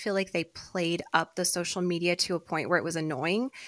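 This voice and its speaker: Fairly quick delivery in an unremarkable speaking voice. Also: woman. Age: 30s. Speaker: podcast co-host. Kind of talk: casual chat.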